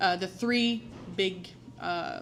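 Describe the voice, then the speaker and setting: In a strong French accent, a woman speaks with ordinary pitch variation amid audible room echo. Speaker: waste management professional, conference presenter. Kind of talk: conference presentation. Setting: conference room with audience. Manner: hesitant, frequent filler words.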